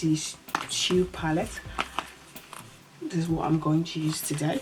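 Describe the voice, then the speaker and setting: A woman speaks in a fairly low pitch with fairly even intonation. Noticeable background noise is present. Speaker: beauty vlogger. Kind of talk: makeup tutorial. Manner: quiet, slow.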